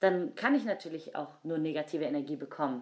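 A woman with an unremarkable speaking voice, lively intonation and a fairly quick pace. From Germany, Cologne. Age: 20s. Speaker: breakdancer. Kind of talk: interview.

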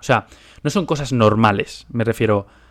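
The background is silent and the recording very clean. The voice belongs to a man. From Spain. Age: 20s. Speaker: podcast host and finance investor. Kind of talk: solo monologue podcast.

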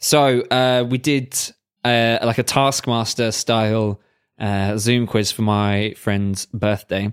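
A man with a British accent speaks at a very slow pace in a medium pitch, with fairly even intonation and very even loudness. The recording is very clean, the background silent. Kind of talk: casual banter between friends, podcast. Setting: living in Germany, recording during lockdown.

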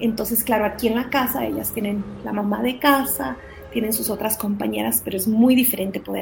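A woman speaks with an ordinary speaking voice. Her pitch sits fairly high and moves with ordinary variation. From Guatemala, raised in Ecuador from age six. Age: 40s. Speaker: charity founder. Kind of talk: testimony.

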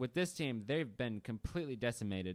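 The recording is very clean, with a silent background. The speaker is a man. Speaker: sports podcast co-host. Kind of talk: casual sports chat. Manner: fast talker.

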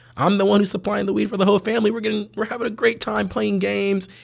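This man has an American accent. His pitch swings very widely. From US West Coast, San Francisco Bay Area. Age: 20s. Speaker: cannabis company executive. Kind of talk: casual interview chat.

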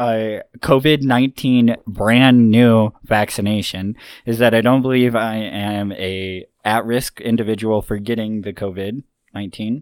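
A man talks at a fairly slow pace with a medium pitch, in an ordinary speaking voice. The recording is very clean, with a silent background. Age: 20s. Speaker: former car dealership owner. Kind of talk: casual chat.

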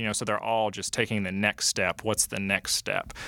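A man with an American accent talks at a very fast pace in a fairly low, bright, sharp voice. His intonation is fairly even, with vocal fry. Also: dry, close sound with no echo. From US South, LaGrange, Georgia. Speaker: executive director of interfaith environmental nonprofit. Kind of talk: interview conversation.

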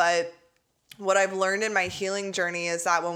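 A woman with a fairly low pitch speaks in an animated, bright, sharp tone. The recording is very clean, with a silent background. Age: 30s. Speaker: podcast host, somatic attachment coach and therapist. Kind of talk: solo podcast monologue.

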